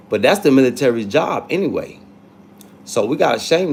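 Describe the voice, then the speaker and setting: Animated in tone, a man speaks at a moderate pace with very wide pitch swings. Vocal fry runs through his voice. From North Carolina, US South. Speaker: livestreamer. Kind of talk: casual live chat. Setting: livestream.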